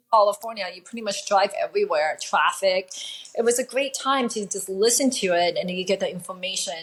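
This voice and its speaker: Amid noticeable background noise, a woman with a fairly high pitch speaks at a moderate pace. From Taiwan. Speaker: attorney. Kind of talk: interview conversation.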